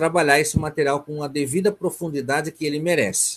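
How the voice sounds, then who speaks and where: A man speaks at a moderate pace. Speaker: psychoanalyst lecturer. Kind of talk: online lecture (webinar). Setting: video conference webinar.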